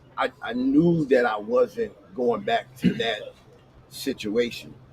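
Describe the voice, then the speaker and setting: There is noticeable background noise as a man speaks at a very slow pace. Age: 60s. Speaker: bus driver and former shelter resident. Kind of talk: casual chat. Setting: livestream.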